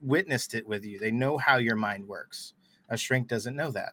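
A plain, everyday voice from a man at a medium pitch, with ordinary pitch variation, a moderate pace and a very clean recording with a silent background. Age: 30s. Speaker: Marine veteran and firefighter. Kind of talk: podcast interview.

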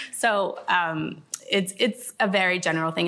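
A woman with an American accent speaks with vocal fry and ordinary pitch variation. The recording is very clean, with a silent background. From Los Angeles. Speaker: sports agency lawyer. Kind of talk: panel discussion.

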